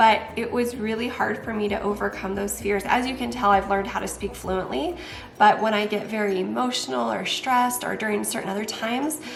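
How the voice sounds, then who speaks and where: Noticeable background noise runs through the clip. There is also audible room echo. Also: woman. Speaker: wellness coach and youtuber. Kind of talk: casual vlog talk. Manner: occasional repetitions and fillers.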